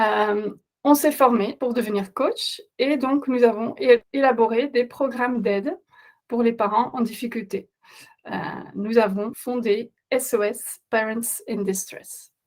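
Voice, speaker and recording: A woman with a Flemish accent speaks very slowly, her fairly high pitch held in fairly even intonation. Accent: Dutch-speaking Flemish accent in French. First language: Dutch (speaking French). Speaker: parenting coach. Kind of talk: webinar presentation. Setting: online webinar. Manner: halting, many hesitations.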